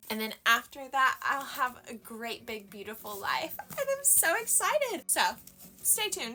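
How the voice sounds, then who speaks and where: With music playing in the background, a woman speaks loudly in an animated tone at a fairly slow pace. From United States. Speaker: book reviewer. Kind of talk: casual book review monologue.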